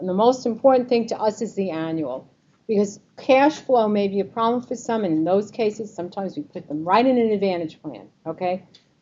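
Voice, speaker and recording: A woman with a New York accent speaks with lively intonation. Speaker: Medicare advisor speaking to a group. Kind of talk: informational presentation with audience quiz. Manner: lively, conversational.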